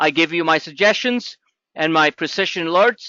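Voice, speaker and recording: A man speaks with an American accent at a high pitch. His intonation is lively. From New York. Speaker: trading educator. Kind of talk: webinar presentation. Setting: webinar. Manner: energetic.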